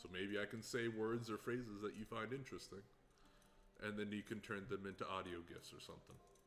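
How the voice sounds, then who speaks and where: Over music in the background, a man with a fairly low pitch talks fairly quickly in a relaxed tone with fairly even intonation. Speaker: livestreamer building a hurdy gurdy. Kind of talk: casual livestream commentary while crafting. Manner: relaxed, with many filler words.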